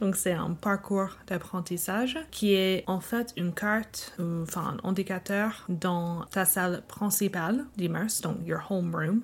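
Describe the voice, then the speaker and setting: Over a very clean recording with a silent background, a woman speaks at a very slow pace in an American accent, with hardly any pauses. Her voice is somewhat breathy, with ordinary pitch variation. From United States. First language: English (speaking French). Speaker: language learning researcher. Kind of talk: interview. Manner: halting with fillers.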